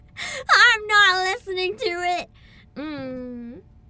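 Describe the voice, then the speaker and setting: Over noticeable background noise, a woman is shouting. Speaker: gaming streamer. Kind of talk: live stream commentary. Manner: loud, yelling; quieter than usual.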